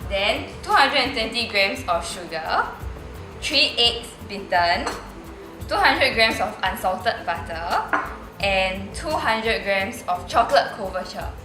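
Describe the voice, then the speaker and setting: Music plays in the background while a woman talks at a fairly slow pace. Audible room echo surrounds her voice. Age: young. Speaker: home cook. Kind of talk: tutorial.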